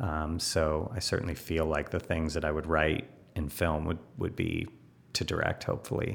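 Speaking at a moderate pace with fairly even intonation, a man with a General American accent has a very deep, low pitch. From Los Angeles, US. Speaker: film director. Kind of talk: interview. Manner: hesitant, many fillers.

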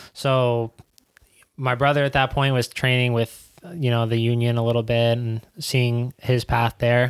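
A man's fairly slow, monotone speech with a New York accent, medium pitch, very even loudness and a dry, close sound free of echo. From New York City (Queens). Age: 20s. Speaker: professional soccer player. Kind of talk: casual chat.

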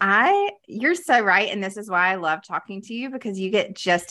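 Over a silent background in a very clean recording, a woman speaks at a moderate pace with lively intonation and a bright, sharp tone. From US South, Greenville, South Carolina. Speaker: social media expert. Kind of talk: casual interview. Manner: animated.

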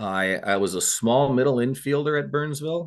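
The speaker has an Upper Midwest accent and lively intonation at a moderate pace. The background is quiet. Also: man. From Minnesota (Eagan). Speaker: retired high school baseball coach. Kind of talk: casual interview. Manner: halting, repeats words.

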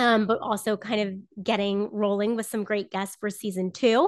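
A woman with an American accent speaks in an unremarkable speaking voice, pitched fairly high. Her intonation is fairly even, and the background is quiet. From Southern Florida. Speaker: former sports journalist, podcaster. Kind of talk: casual interview chat.

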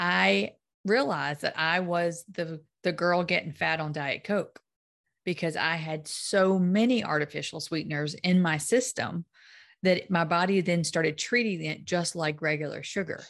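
A woman speaks in a plain, everyday voice at a fairly low pitch, with ordinary pitch variation and a moderate pace. The background is quiet. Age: 50s. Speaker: podcast host and weight-loss coach. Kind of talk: casual interview chat.

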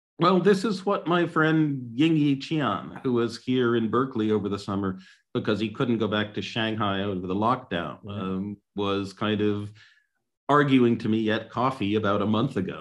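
A man has a normal speaking voice, medium in pitch with lively intonation. He talks at a moderate pace against a quiet background. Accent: American. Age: 60s. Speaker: economist and author. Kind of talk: webinar discussion.

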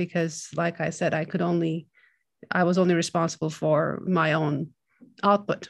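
A woman with a Turkish accent and a fairly low pitch speaks at a moderate pace in a monotone, flat intonation against a quiet background. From Turkey (Istanbul). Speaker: film composer. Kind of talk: interview. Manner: halting.

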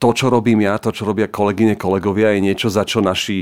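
A man at medium pitch in a flat monotone, on a very clean recording with a silent background. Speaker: writer. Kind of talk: casual chat.

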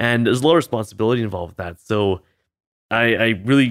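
Pitch varying in an ordinary way, a man speaks at a very fast pace. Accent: Canadian. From Canada (British Columbia). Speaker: optometrist. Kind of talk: casual chat.

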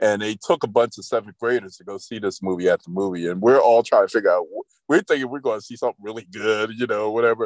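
A man talks at a very fast pace in a medium pitch with ordinary pitch variation and big swings in loudness, the sound dry and close with no echo. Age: 60s. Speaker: event planner and podcast co-host. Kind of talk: casual chat.

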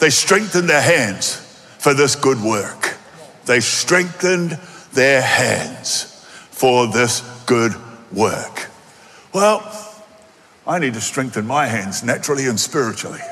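Over noticeable background noise, a man with an Australian accent talks very slowly at medium pitch, with lively intonation and long, frequent pauses. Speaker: pastor. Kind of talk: sermon. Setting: church. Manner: animated.

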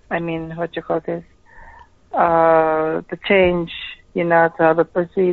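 With a non-native accent, a woman speaks fairly low and slow in a monotone, flat way, leaving long, frequent pauses. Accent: foreign-accented English. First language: not English. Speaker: caller, escort. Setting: phone call.

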